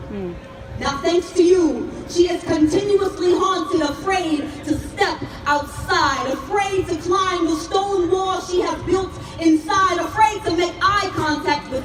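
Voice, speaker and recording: A woman talks at a very slow pace in an extremely high pitch with ordinary pitch variation. Noticeable background noise sits behind her voice. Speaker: spoken word poet. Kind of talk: spoken word poetry performance. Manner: impassioned, forceful.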